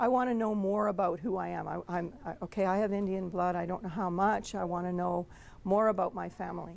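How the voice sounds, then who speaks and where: A woman talks at a fairly quick pace with a Canadian accent. Her pitch sits in the medium range. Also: fairly even intonation. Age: 60s. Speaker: speaker telling her adoption story. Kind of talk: personal storytelling talk. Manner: hesitant, many fillers.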